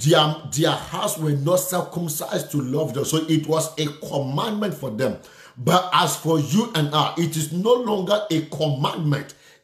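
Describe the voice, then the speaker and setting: Amid noticeable background noise, a man talks at a fairly slow pace and fairly high pitch with ordinary pitch variation. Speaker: preacher. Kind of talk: sermon with prayer and call-and-response. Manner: fervent, exclamatory, punctuated by repeated hallelujahs; rhythmic, repeating phrases for emphasis, directly addressing listeners.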